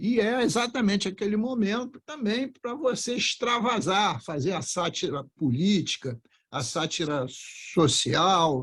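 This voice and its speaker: Speaking at a fairly slow pace with hardly any pauses, the voice swings very widely in pitch. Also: man, high pitch for a man. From Brazil, Rio de Janeiro (Engenho de Dentro). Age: 70s. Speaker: politician. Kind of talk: podcast interview.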